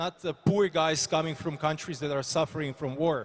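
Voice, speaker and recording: With a Croatian accent, a man talks at a high pitch with fairly even intonation. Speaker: politician. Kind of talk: panel discussion. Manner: halting.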